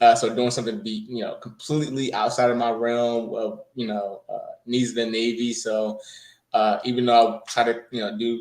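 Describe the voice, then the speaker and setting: Using a monotone, flat intonation, a man with an American accent talks at a medium pitch and a moderate pace. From New Jersey. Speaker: coding bootcamp graduate, Navy veteran. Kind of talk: interview. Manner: hesitant, many fillers.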